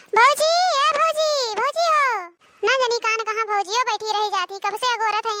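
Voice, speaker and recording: A woman performs a cartoonish character voice at an extremely high pitch. Her pace is moderate. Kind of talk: cartoon comedy acting. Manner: demanding, petulant, imperious.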